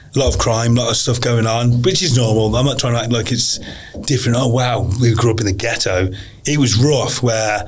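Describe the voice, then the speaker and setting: A man with a West Midlands accent speaks at a medium pitch. His voice is somewhat breathy, with audible room echo. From English Midlands, Telford, Shropshire. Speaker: pro MMA fighter. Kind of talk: podcast interview, life story. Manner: casual, repetitive restarts.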